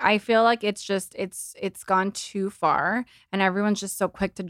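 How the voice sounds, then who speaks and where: A woman with an unremarkable speaking voice talks at a fairly quick pace in a medium pitch, recorded with a dry, close sound and no echo. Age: 30s. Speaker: influencer and entrepreneur. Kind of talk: casual chat.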